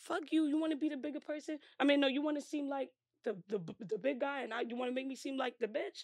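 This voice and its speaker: In a New York accent, a woman with a high pitch talks at a very fast pace, her tone animated and her pitch variation ordinary. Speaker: rapper. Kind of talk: interview.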